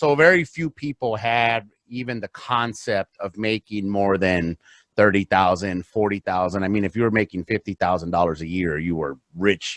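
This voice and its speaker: Here a man talks at a moderate pace. His pitch varies in an ordinary way, and the sound is dry and close, with no echo. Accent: Spanish. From US, south Los Angeles, then Phoenix from 14. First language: Spanish. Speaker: real estate investor. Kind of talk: podcast interview.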